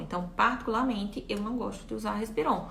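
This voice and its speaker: A woman speaks fairly quickly at a fairly high pitch. Audible room echo and noticeable background noise are present. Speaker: physiotherapy lecturer. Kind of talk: live-stream lecture with Q&A. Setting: live stream. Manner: fast.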